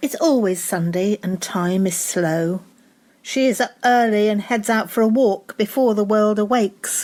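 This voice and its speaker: A woman with a normal speaking voice talks at a fairly slow pace with ordinary pitch variation, on a very clean recording with a silent background. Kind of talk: poetry reading.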